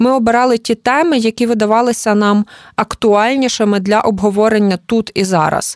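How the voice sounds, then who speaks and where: A woman talks at a moderate pace, her pitch fairly high. It is an unremarkable speaking voice, and the intonation stays fairly even. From Ukraine, Lviv. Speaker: journalist and cultural manager. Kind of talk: interview conversation.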